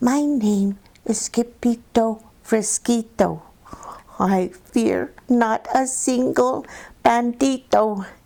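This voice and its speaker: Using a put-on character voice, a soft-spoken woman with a fairly high pitch talks at a very slow pace, shaky yet very even in loudness. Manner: very soft, trembling.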